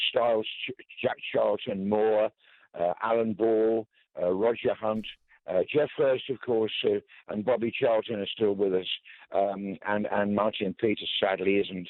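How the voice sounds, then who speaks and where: This man speaks at a medium pitch and a fairly slow pace. He has a plain, everyday voice. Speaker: veteran football commentator. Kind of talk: radio tribute interview. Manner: measured, reflective.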